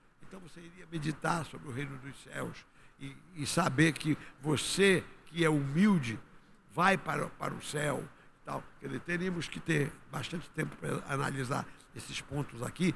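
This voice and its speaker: The voice moves at a moderate pace with audible room echo and big swings in loudness. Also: man, fairly high pitch for a man, ordinary pitch variation. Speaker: pastor. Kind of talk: sermon.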